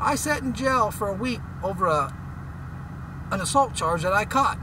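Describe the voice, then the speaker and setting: In an American accent, a man with a high pitch raises and projects his voice, sounding animated with lively intonation over noticeable background noise. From West Texas, Midland. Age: 30s. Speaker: oil and gas worker, vlogger. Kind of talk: opinion rant.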